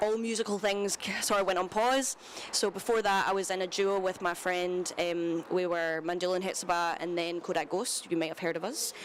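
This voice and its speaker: The speaker talks at a fairly quick pace with fairly even intonation over noticeable background noise. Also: woman, medium pitch for a woman. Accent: Glaswegian. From Scotland, Glasgow. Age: 20s. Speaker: singer-songwriter. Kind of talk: interview. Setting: live broadcast from a cinema at a festival.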